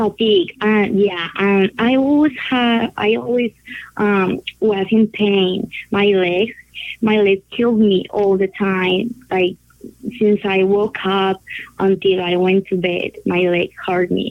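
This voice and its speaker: With a Spanish accent, a woman speaks at a very slow pace, her loudness very even and her pitch varying in an ordinary way. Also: medium pitch for a woman. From Colombia. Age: 20s. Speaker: patient sharing her diagnosis story. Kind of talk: interview testimony. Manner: halting.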